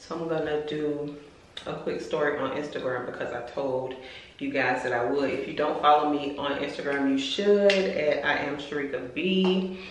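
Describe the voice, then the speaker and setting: A woman's very deep, low voice at a moderate pace, with ordinary pitch variation, audible room echo and light background noise. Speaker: lifestyle vlogger. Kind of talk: casual vlog chat. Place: bathroom. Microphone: phone near.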